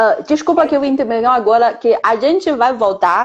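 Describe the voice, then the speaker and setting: Fairly high in pitch, a woman talks at a moderate pace with lively intonation. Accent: Chinese. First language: Chinese (speaking Portuguese). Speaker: Chinese language teacher and interviewer. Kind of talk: interview.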